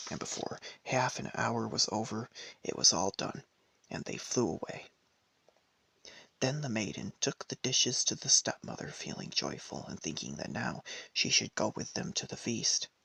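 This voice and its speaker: A soft-spoken man at a moderate pace, with long, frequent pauses and a dry, close sound with no echo. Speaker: ASMR storyteller. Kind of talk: fairy tale reading.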